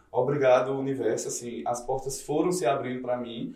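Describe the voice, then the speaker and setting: A man speaks with audible room echo. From Campina Grande, Paraíba, Brazil. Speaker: DJ. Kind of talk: casual chat. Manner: animated.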